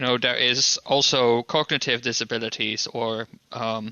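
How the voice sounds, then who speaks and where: This man speaks at a medium pitch. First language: not English. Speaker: podcast co-host. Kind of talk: casual chat.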